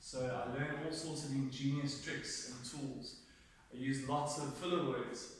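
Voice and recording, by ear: Speaking at a fairly slow pace with fairly even intonation, a man with a medium-pitched voice is heard in a room with strong echo.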